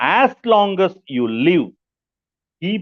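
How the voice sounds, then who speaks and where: This speaker has an Indian accent. The pitch swings very widely. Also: man. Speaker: pastor, book review presenter. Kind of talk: book review talk. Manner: slow, repetitive.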